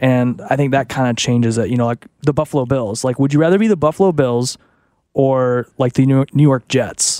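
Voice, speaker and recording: A man of medium pitch with an American accent speaks at a fairly quick pace, with a dark, mellow tone and ordinary pitch variation. The recording is very clean, with a silent background, and the sound is dry and close, with no echo. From US South, Arkansas. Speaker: sports radio co-host. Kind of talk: casual chat.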